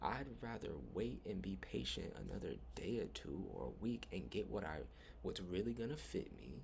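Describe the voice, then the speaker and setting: With audible room echo in the recording, a man speaks at a very deep, low pitch with vocal fry. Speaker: spiritual vlogger. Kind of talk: personal storytelling monologue. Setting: rented room at night. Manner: casual, rambling with fillers.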